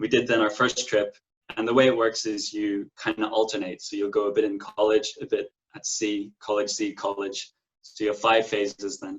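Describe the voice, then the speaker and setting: With a Donegal accent, a man talks at a moderate pace. His pitch is fairly low and his intonation fairly even. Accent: Irish (Donegal, Ulster). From Ireland, County Donegal. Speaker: merchant navy officer graduate. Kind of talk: interview.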